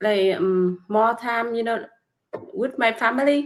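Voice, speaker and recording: With a Vietnamese accent, a woman speaks at a fairly slow pace and a fairly high pitch. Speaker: nail technician and online business mentor. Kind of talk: casual interview. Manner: halting, many hesitations.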